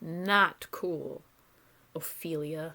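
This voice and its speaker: A woman uses a put-on, growling character voice at a fairly low pitch. Her intonation is fairly even. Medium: read story. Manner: surly, snarling.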